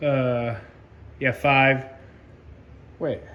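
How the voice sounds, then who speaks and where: This is a man speaking. His pitch is fairly high. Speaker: model railroad hobbyist video host. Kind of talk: casual video walkthrough. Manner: casual with fillers.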